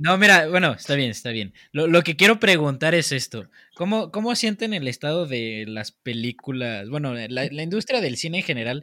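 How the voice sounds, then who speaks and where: On a very clean recording with a silent background, a man speaks at a moderate pace with very wide pitch swings. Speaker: podcast co-host. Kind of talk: casual chat.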